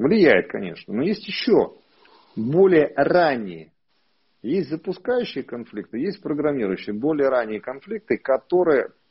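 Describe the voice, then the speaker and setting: Very wide pitch swings at a fairly slow pace, against a quiet background. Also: man. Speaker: psychosomatics therapist. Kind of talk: live online consultation. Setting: video call. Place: home room. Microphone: earbuds.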